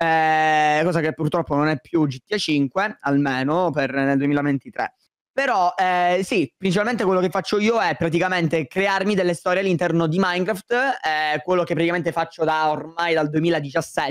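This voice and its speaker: A man speaks at a moderate pace with a high pitch and very even loudness. His pitch varies in an ordinary way, and the background is quiet. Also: dry sound with no echo. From Sicily, Palermo; Sicily. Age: 20s. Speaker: YouTuber. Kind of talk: casual chat. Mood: relaxed, chatty. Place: home room. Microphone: studio mic.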